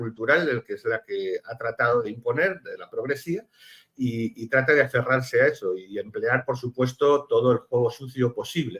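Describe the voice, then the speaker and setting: The speech comes at a fairly slow pace in a Spanish accent. Its pitch moves in an ordinary way. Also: man. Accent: Spanish (Spain). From Spain. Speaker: political analyst, lawyer. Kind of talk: TV panel discussion. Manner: halting, many fillers.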